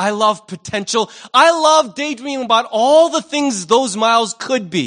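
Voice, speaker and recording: At a fairly slow pace, a man speaks with an extremely high pitch, a bright, sharp tone and lively intonation. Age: 50s. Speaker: pastor. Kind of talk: sermon. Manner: conversational.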